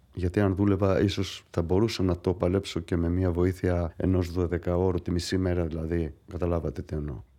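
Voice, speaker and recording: The voice has a Greek accent and a dark, mellow tone, with monotone, flat intonation. It moves at a moderate pace over a quiet background. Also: man, very deep, low pitch for a man. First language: Greek (speaking French). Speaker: patient. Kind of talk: testimony.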